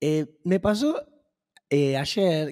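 Against a quiet background, a man with a dark, mellow tone speaks with lively intonation. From Argentina. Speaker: podcast co-host. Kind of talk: casual chat. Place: studio. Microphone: studio mic.

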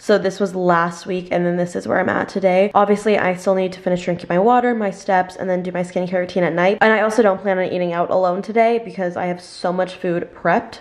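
A woman with a fairly low pitch talks at a fairly quick pace, with few pauses, fairly even intonation and faint background noise.

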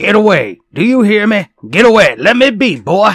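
Doing a put-on character voice, a man talks at a moderate pace with a high pitch, a fairly bright tone and big pitch swings.

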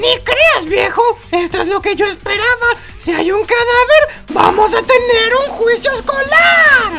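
A put-on character voice moves at a fairly slow pace over clear background noise. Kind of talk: comic overacting. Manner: gleeful, taunting, hyper.

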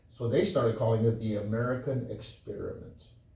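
A man's somewhat breathy voice with a dark, mellow tone, a moderate pace, and audible room echo. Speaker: preacher, Bible teacher. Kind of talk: sermon, Bible teaching. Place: church.

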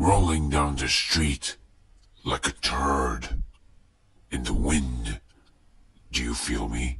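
In a raspy, cartoonish character voice, a man speaks at a very deep pitch and a very slow pace, with long, frequent pauses. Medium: puppet. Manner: menacing, mocking.

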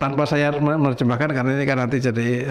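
Here a man speaks with fairly even intonation. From Central Java, Indonesia (Sragen); Central Java, Indonesia. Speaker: professor and painter; professor. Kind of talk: casual interview. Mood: relaxed, storytelling. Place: studio. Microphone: lapel.

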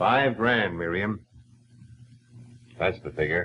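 This put-on character voice moves at a slow pace with lively intonation and a slightly husky edge. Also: man, low pitch for a man.

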